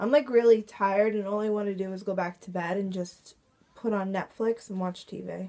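Intonation is fairly even. The voice has a dark, mellow tone. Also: woman, medium pitch for a woman, moderate pace.

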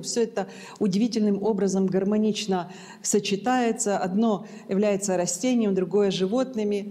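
Against a quiet background, a woman with a dark, mellow tone speaks at a moderate pace with fairly even intonation. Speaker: preacher. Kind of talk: sermon. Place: church.

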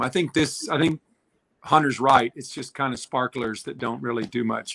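Bright and sharp in tone, a man speaks at a moderate pace with fairly even intonation. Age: 50s. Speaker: former Olympic swimmer; swimming commentator guest. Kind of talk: live sports commentary chat. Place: home room. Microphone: webcam.

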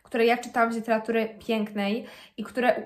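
Speaking at a fairly quick pace, a woman uses a high pitch and a monotone, flat intonation. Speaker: book vlogger. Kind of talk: casual vlog chat. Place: home room. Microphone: phone near.

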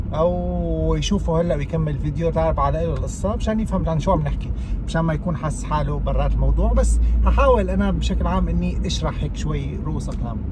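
A man speaks at a fairly quick pace with hardly any pauses. The sound is dry, with no echo, over noticeable background noise. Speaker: youtuber. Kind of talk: casual vlog chat. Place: car. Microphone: phone near.

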